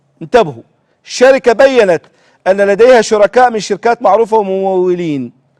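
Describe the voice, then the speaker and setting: With an Iraqi accent and an animated tone, a man talks at a moderate pace in a high voice, the sound dry and close with no echo. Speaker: TV show host. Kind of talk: political commentary; reading aloud. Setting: TV studio.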